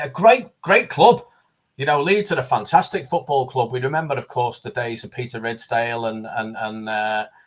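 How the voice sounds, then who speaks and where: A man with a Liverpool accent swings widely in pitch and shows big swings in loudness. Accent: Liverpool (Scouse). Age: 60s. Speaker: football fan guest. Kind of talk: casual chat. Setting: live stream.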